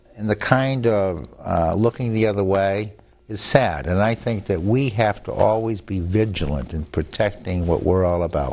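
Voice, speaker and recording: A man speaks with a fairly low pitch. His pace is fairly slow. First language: Italian. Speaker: attorney. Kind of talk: TV interview. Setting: studio.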